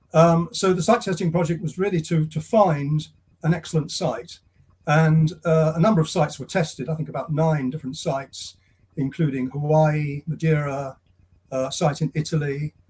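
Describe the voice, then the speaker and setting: A man's fairly high voice in an English accent, with fairly even intonation. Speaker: retired astronomer, site tester. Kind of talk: interview. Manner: halting; quiet. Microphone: too quiet at first.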